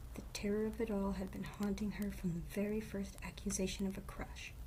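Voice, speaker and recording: The tone is calm and the pace moderate. Noticeable background noise can be heard. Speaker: storyteller. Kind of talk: reading aloud. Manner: soft-spoken.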